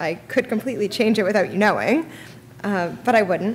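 Over light background noise, a woman speaks at a fairly quick pace with ordinary pitch variation. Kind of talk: eulogy. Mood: grieving, tender. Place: church. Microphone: podium.

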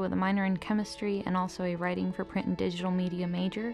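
At a very fast pace, a woman talks in a flat monotone at medium pitch. Music sounds in the background. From Venezuela; Caracas, Venezuela. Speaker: college student, marine biology intern. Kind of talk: interview answer.

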